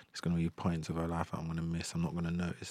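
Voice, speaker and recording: Talking at a very fast pace, a man with a London accent has a very deep, low pitch. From south London. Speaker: musician and parent. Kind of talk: casual interview.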